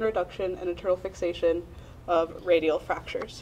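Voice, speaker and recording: A woman is speaking. Her pace is very fast. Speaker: medical student presenting research. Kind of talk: conference presentation. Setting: symposium with audience.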